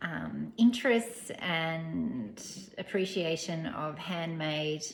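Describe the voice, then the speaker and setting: A woman speaks. She has an Australian accent. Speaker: knitting vlogger, teacher. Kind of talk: casual chat. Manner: soft-spoken; hesitant.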